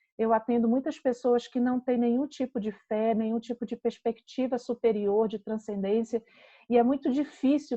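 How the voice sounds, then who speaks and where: A woman with a Pará accent speaks at a moderate pace, high in pitch with ordinary pitch variation and a dark, mellow tone. The sound is dry and close with no echo, over a quiet background. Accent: Pará (northern Brazilian). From northern Brazil, Belém do Pará. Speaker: psychologist. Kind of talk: lecture.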